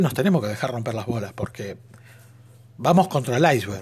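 A somewhat breathy man at a fairly quick pace, animated in tone, with very wide pitch swings. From Argentina. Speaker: podcaster. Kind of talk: monologue.

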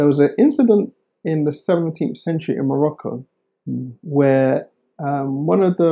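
A man with a southern English accent speaks at a moderate pace in a fairly high pitch, his tone dark and mellow and his pitch variation ordinary. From England, Oxford. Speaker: historian and author. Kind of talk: interview.

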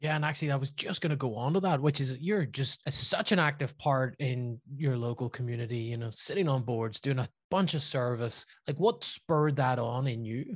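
Somewhat breathy and medium in pitch, a man with a Northern Irish accent speaks at a fairly quick pace with ordinary pitch variation over a quiet background. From Northern Ireland, Belfast. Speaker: podcast host. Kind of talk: interview.

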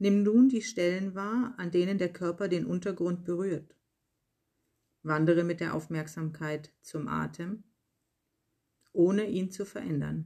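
A woman speaks at a fairly slow pace, in a fairly low pitch with a dark, mellow tone. Her pitch varies in an ordinary way, and she leaves long, frequent pauses. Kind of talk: guided meditation. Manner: slow, calm, soothing, unhurried; gentle, soft-spoken, with long pauses.

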